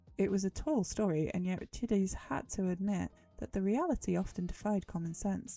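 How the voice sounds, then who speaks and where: The speaker keeps a moderate pace with ordinary pitch variation. Music is audible in the background. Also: woman. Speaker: livestreamer. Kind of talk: dramatic reading of a novel.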